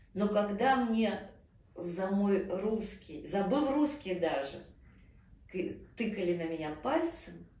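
In a room with audible echo, a woman speaks at medium pitch with very wide pitch swings. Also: long, frequent pauses, big swings in loudness. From Ukraine, Kyiv. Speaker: actress. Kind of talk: interview. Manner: animated. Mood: earnest, emotional. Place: home room.

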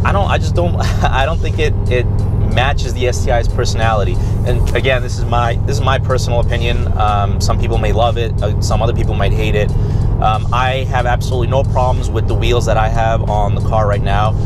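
A man talks at a fairly quick pace. Loud background noise surrounds his dry voice, which has no echo. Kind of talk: casual vlog chat. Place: car. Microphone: camera far.

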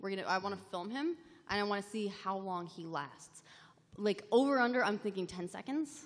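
A woman's fairly quick speech with lively intonation. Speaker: gaming show panelist; panelist. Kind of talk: live convention panel chat. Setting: stage with audience. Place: hall. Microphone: podium.

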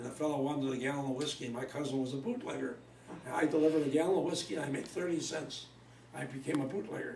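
The speech comes at a very fast pace. There is audible room echo along with light background noise. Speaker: elderly interviewee. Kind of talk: interview answer. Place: home room. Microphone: camera far.

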